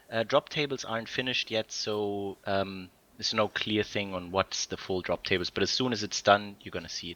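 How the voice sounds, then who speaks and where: A man with a German accent, fairly low in pitch, fairly even in intonation, fairly quick and with hardly any pauses. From Germany (Bavaria). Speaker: game community stream host. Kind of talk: casual livestream chat with Q&A. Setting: recorded online stream.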